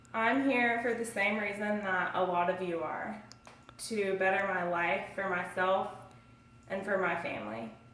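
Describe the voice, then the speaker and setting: A woman at a fairly slow pace with ordinary pitch variation, amid audible room echo and noticeable background noise. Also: medium pitch for a woman. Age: 20s. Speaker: student. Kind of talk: self-introduction speech.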